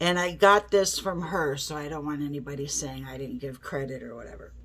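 A woman's nasal, fairly bright tone with ordinary pitch variation

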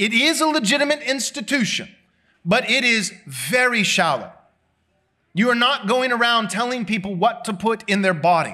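A man projects a raised voice at extremely high pitch, with a bright, sharp tone and lively intonation over a quiet background. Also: moderate pace. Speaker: pastor. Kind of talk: sermon. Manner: loud. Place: church. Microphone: podium.

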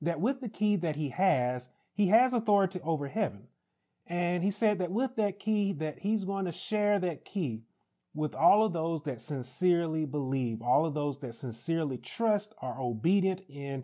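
Against a quiet background, a man with a dark, mellow tone and high pitch for a man speaks at a moderate pace, swinging very widely in pitch. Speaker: pastor. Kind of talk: Bible study teaching. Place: home room. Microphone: lapel.

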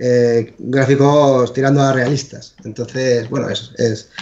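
Monotone, flat intonation marks a man's medium-pitched speech. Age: 40s. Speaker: video game developer. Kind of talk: interview.

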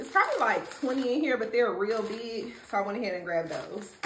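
A woman talks at a fairly quick pace with ordinary pitch variation. There is audible room echo and light background noise. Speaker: mom vlogger. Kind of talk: casual vlog chat. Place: kitchen. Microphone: camera far.

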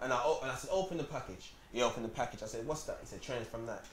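A man with a London accent speaks at a medium pitch amid audible room echo and light background noise. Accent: London Multicultural English. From South London, Peckham. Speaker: rapper; interview guest. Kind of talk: casual chat. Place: shop. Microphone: lapel.

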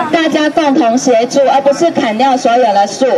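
A high-pitched woman's voice against crowd noise in the background. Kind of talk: protest speech. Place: street. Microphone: handheld.

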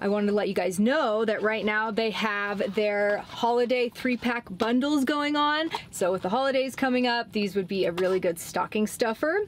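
A woman's voice at a moderate pace, with ordinary pitch variation and light background noise. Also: hardly any pauses. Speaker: van life vlogger. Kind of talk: sponsor read, casual vlog chat. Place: car. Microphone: camera far.

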